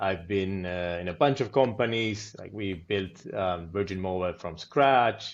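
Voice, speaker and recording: Speaking in an Argentine accent at a moderate pace, a man has a fairly low pitch. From Argentina. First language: Spanish. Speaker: product manager, podcast co-host. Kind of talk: casual podcast chat.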